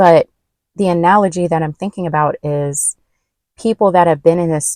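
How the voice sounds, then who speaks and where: Dark and mellow in tone, a woman speaks with fairly even intonation in a dry, close sound with no echo. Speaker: tarot reader. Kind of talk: collective tarot reading. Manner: halting, with fillers.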